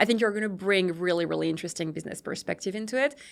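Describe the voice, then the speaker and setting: A woman speaks at a medium pitch with ordinary pitch variation and a European accent. The recording is very clean, with a silent background. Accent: non-native, European. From Europe, born in Brazil. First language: not English. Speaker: company CEO. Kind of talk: podcast interview.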